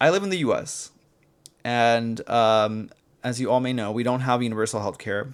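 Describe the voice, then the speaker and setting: A man with an American accent has a plain, everyday voice at medium pitch and a moderate pace. The recording is very clean, with a silent background. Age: 20s. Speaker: YouTuber. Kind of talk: casual vlog rant. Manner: casual, filler-heavy. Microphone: new mic.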